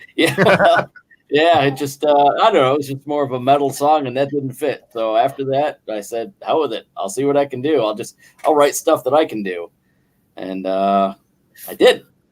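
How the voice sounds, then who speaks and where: Lively intonation marks this man's fairly high voice. He speaks at a moderate pace with an American accent. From western New York, near Buffalo. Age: 50s. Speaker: guest singer and guitarist. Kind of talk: casual chat. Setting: live online stream, from work on a break.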